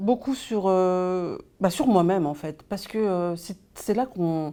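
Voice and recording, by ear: A woman speaks slowly in a fairly low pitch with a dark, mellow tone. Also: ordinary pitch variation.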